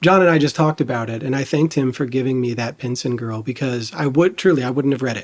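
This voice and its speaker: Talking very fast with hardly any pauses, a man with a US Midwestern accent uses a medium pitch and ordinary pitch variation. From Dayton, Ohio. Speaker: podcast host. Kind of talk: interview.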